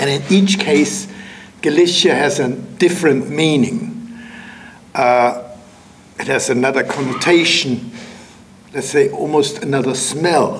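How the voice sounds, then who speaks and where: A man's fairly high voice with lively intonation and a non-native accent, long, frequent pauses, audible room echo and noticeable background noise. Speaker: writer and lecturer. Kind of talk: lecture. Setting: lecture hall with audience. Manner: halting with fillers.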